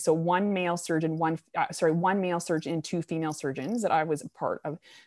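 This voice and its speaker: A woman's normal speaking voice, fairly low in pitch, with a Canadian accent and fairly even intonation. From Canada, New Brunswick. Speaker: orthopedic surgeon. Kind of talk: interview. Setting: remote call.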